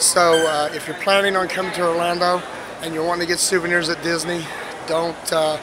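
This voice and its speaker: A man speaks in a monotone with flat intonation and a high pitch, over noticeable background noise. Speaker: travel vlogger. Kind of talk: casual vlog chat. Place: street. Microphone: phone near.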